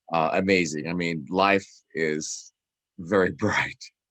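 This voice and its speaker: Over a quiet background, a man speaks with a very deep, low pitch in a dry, close sound with no echo. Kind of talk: casual talk to camera. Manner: casual, hesitant.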